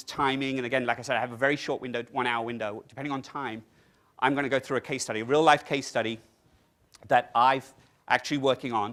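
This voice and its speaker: On a very clean recording with a silent background, the speaker talks at a very fast pace with an English accent and a bright, sharp tone. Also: man. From England. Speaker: technology consultant presenting at a conference. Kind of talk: conference presentation. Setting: conference room with audience. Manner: animated.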